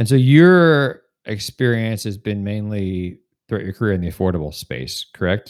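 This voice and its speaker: With an American accent and an ordinary speaking voice, a man talks at a moderate pace with lively intonation, fairly low in pitch. The recording is very clean, with a silent background. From northern New Jersey. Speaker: podcast host, recruiter. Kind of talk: interview.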